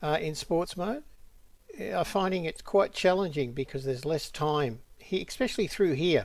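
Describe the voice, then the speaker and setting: On a very clean recording with a silent background, a man with an Australian accent speaks at a moderate pace in a fairly high voice with ordinary pitch variation. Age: 70s. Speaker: drone hobbyist vlogger. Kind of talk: narrated video commentary. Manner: casual, with frequent fillers.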